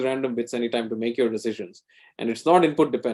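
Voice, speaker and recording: The pace is very fast. The speaker is a man. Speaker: computer science researcher. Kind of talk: lecture.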